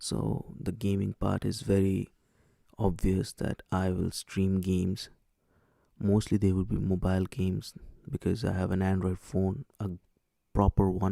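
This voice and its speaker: A man with an Indian accent speaks in a very deep, low voice with a dark, mellow tone, at a fairly slow pace with long, frequent pauses and fairly even intonation, in a dry, close sound with no echo. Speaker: streamer. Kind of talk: live stream chat. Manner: hesitant.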